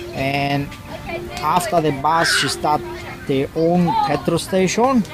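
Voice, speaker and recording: A man talks at a very slow pace in a high pitch with ordinary pitch variation. His loudness stays very even over noticeable background noise. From Cyprus. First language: Greek. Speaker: family member interviewee. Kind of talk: personal testimony. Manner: halting.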